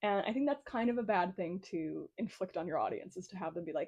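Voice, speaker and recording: Speaking at a very fast pace, a woman with an American accent uses lively intonation. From United States. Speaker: book reviewer. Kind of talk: casual chat. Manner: casual, filler-heavy speech.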